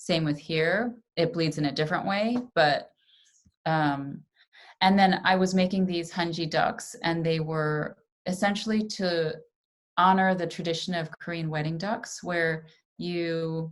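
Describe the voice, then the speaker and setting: A woman with an American accent, fairly low pitch, ordinary pitch variation and a fairly slow pace, in an unremarkable speaking voice. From New York, US. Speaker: artist and papermaker. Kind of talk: pre-recorded presentation. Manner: casual, with frequent fillers.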